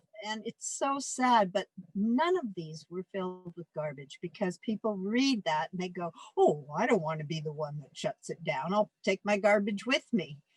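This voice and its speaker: A woman with a Canadian accent, medium pitch, somewhat breathy, lively intonation, moderate pace, dry, close sound with no echo. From Canada. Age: 70s. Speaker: retired van dweller. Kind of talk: interview conversation.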